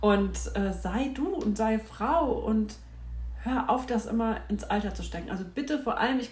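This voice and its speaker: There is noticeable background noise behind this woman as she talks. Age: 40s. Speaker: podcast host. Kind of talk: casual monologue. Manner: animated.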